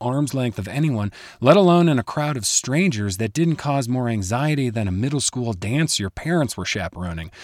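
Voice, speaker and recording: A man with an American accent speaks at a moderate pace with very wide pitch swings. The recording is very clean, dry and close, with a silent background and no echo. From US Midwest, Chicago. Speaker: skier and storyteller. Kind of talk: scripted narration.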